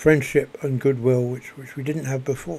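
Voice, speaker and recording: A soft-spoken man talks with monotone, flat intonation. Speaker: video blogger. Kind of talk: spoken reflection monologue. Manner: halting, many repetitions.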